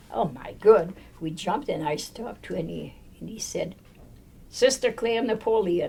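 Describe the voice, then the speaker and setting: A somewhat breathy woman at a fairly slow pace, with lively intonation. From Quebec. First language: French. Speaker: nun. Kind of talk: oral history interview.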